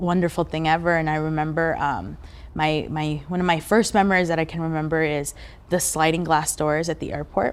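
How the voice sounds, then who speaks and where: A woman speaks at a fairly quick pace in a very deep, low voice, her intonation fairly even. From Mexico, raised in Southern California and Las Vegas. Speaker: immigrant activist. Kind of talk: interview testimony. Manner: halting, many fillers and repeats.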